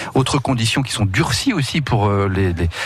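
With music in the background, a man speaks at a moderate pace. His pitch is fairly low and varies in an ordinary way. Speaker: radio host. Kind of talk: casual chat. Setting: studio. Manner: animated.

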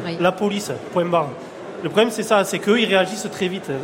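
A high-pitched man at a fairly quick pace, fairly even intonation, audible room echo and noticeable background noise. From France, Lozère. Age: 20s. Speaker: cattle farmer. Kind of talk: live radio interview. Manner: halting.

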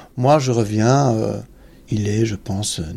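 At a fairly slow pace, a man speaks with a medium pitch in a dark, mellow, somewhat breathy tone. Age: 50s. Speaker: retired soldier. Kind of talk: testimony. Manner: halting.

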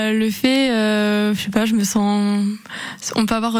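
The speaker talks at a fairly slow pace with monotone, flat intonation, over noticeable background noise. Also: woman. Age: 20s. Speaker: amateur triathlete. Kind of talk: radio interview. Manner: hesitant, with fillers.

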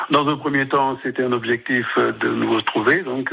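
A man talks at a medium pitch with noticeable background noise around him. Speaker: association founder. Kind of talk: radio interview.

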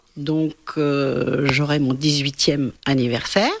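There is noticeable noise in the background. A woman can be heard talking. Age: 60s. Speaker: local resident born on 29 February. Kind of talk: interview.

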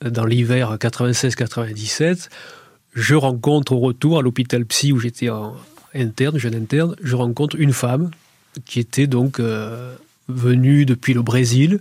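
Somewhat breathy, a man talks at a medium pitch. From southern France, Béziers. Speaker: psychiatrist and painter. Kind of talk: radio interview. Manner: halting, many repetitions.

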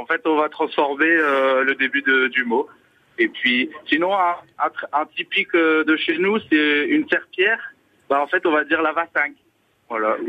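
This man has a fairly high pitch and ordinary pitch variation. He speaks at a fairly slow pace. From Vendée, rural western France. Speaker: storyteller and singer in dialect. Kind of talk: radio call-in.

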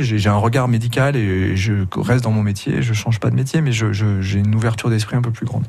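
A medium-pitched man with ordinary pitch variation against noticeable background noise. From France, Grenoble. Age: 50s. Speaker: emergency doctor and documentary maker. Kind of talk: radio interview. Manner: halting.

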